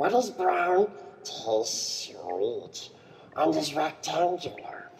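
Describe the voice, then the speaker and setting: The speaker uses a put-on character voice at a very slow pace. Clear background noise is heard. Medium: audio drama. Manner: sly, creepy.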